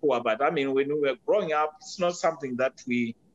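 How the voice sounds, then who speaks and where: Recorded with a dry, close sound and no echo, a man with a Zimbabwean accent speaks at a fairly high pitch with ordinary pitch variation. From Zimbabwe, rural. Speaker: podcast guest, father. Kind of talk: interview conversation. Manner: halting, many fillers.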